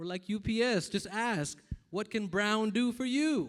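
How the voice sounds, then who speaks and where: A high-pitched man in a Texan accent, with very wide pitch swings. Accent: American, Texan with y'all. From Texas, Tyler. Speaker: comedian and eye surgeon. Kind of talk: stand-up. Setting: stage with audience at a gala dinner.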